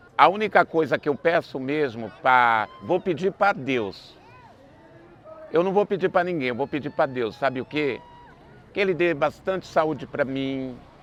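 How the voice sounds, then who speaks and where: A man talks fairly slowly in a fairly high voice, with noticeable noise in the background. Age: 60s. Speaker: festival dance troupe founder. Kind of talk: interview.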